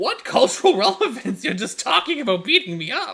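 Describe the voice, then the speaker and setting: Someone uses a put-on character voice at a fairly quick pace, with very wide pitch swings. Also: man. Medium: actual play. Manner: evasive, whiny, profane.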